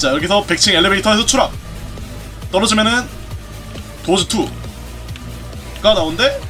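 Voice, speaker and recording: Music plays in the background as a man talks at a fairly slow pace. His tone is excited. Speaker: gaming streamer. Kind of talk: game commentary.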